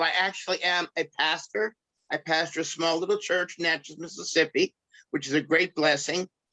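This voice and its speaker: A man with a New York accent talks at a moderate pace in a high voice. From New York (Brooklyn). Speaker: pastor and craft artist. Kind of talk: interview.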